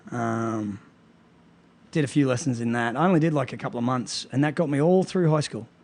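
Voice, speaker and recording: A man with an Australian accent at a fairly quick pace, with ordinary pitch variation. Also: medium pitch for a man. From Australia, Brisbane. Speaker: martial arts gym owner and coach. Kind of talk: podcast interview.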